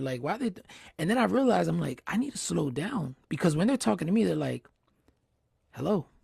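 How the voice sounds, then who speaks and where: A man talks at a very fast pace with very wide pitch swings. His pitch is fairly high, with vocal fry. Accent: American. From New Jersey. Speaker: interview series host. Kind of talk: casual interview chat. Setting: livestream.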